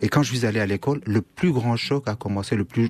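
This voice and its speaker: A man with a Kurdish accent talks at a very fast pace with ordinary pitch variation over noticeable background noise. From Syria (Kurdish northeast). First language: Kurdish (speaking French). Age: 50s. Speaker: writer. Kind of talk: radio interview. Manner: halting, with hesitations.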